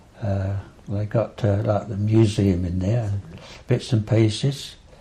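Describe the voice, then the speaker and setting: A man with an Essex accent speaks fairly slowly in a fairly low pitch, with fairly even intonation. His tone is dark and mellow, and somewhat breathy. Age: 80s+. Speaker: local elder recalling memories. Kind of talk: oral history interview. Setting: at home. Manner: halting, many fillers.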